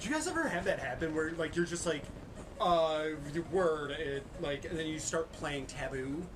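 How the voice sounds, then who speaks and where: Over noticeable background noise and audible room echo, a man with a fairly high pitch speaks at a moderate pace. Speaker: maker livestream host. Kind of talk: casual chat during a craft livestream. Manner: animated, rambling with fillers.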